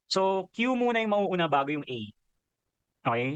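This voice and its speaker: A man speaks loudly at a high pitch. His pitch swings very widely. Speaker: coach. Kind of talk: Q and A session.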